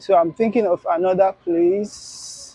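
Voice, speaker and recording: This man's voice sits high for a male, recorded with a dry, close sound that carries no echo. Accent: Nigerian. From Nigeria, Igbo area. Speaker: food vlogger. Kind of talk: on-location vlog, shopping talk. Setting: outdoors at a village square.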